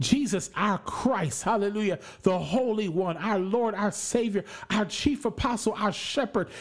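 A man with an American accent, high pitch, an animated tone and ordinary pitch variation, at a fairly slow pace, over noticeable background noise. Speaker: preacher. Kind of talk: sermon. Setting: live radio broadcast. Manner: animated, emphatic, preaching with repetition and call-and-response.

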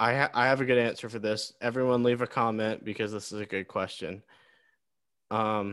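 The recording is very clean, with a silent background. A man speaks at a moderate pace in an unremarkable speaking voice. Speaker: podcast co-host. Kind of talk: mock radio DJ patter, a bright drive-time show spiel. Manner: sing-song, upbeat and over-the-top announcer voice, playful.

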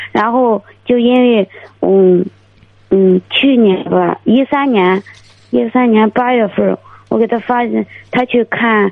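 At a very slow pace, a woman with fairly high pitch speaks with very even loudness, fairly even intonation and long, frequent pauses. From Dezhou, Shandong. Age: 20s. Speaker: caller seeking marriage advice. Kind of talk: phone call-in. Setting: phone call. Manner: halting.

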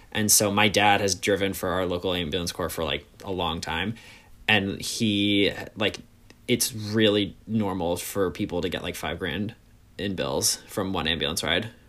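A man with a New York accent and a very deep, low pitch, a bright, sharp tone, fairly even intonation and a moderate pace, on a very clean recording with a silent background. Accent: New York area American. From US, New York suburbs. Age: 20s. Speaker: podcast host. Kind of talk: casual chat.

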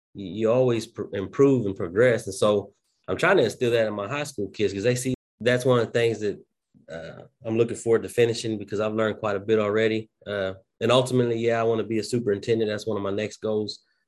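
With a Southern US accent, a man talks at a very fast pace, his medium pitch carried by fairly even intonation. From southwest Oklahoma. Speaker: school principal. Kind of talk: casual interview.

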